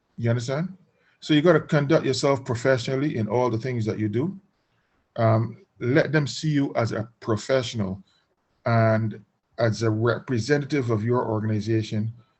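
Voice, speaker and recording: Speaking at a moderate pace, a man has a medium pitch, ordinary pitch variation and a somewhat breathy sound. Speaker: business trainer. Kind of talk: webinar discussion.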